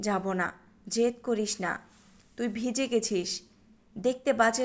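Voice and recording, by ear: This clip features reading aloud in a natural voice.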